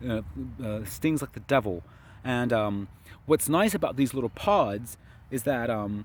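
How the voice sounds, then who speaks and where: A man at medium pitch talks fairly slowly with lively intonation and long, frequent pauses. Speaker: gardening vlogger. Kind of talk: casual video walkthrough. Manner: hesitant fillers.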